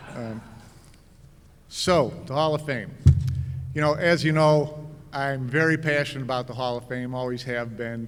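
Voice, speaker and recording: There is audible room echo around a man's medium-pitched voice. His intonation is fairly even. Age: 60s. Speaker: hall of fame inductee, billiards journalist. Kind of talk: acceptance speech.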